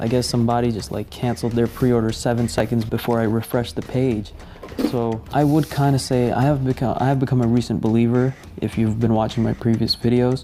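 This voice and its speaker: A quiet voice at a fairly quick pace with fairly even intonation, music playing in the background. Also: man. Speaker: YouTuber, sneaker channel host. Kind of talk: unboxing video. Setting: at home while others sleep.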